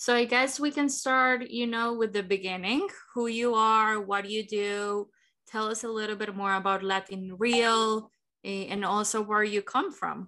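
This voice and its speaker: Speaking at a fairly slow pace with a Spanish accent, a woman with a fairly high pitch has a bright, sharp tone and fairly even intonation. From Colombia. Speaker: podcast host. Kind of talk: interview.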